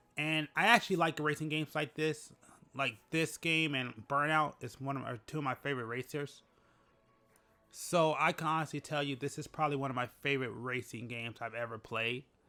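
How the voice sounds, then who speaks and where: Over music in the background, a man with a fairly high pitch talks at a moderate pace with ordinary pitch variation. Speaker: gaming YouTuber. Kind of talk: casual commentary.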